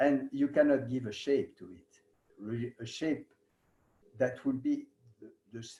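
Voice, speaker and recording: The voice has a dark, mellow tone and a French accent. The pace is fairly slow. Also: man. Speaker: yoga teacher. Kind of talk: lecture. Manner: halting.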